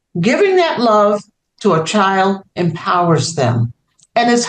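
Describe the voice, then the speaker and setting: With an American accent, a normal speaking voice moves at a fairly slow pace with lively intonation. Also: woman. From New York, South Bronx. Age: 60s. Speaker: children's author. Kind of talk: interview.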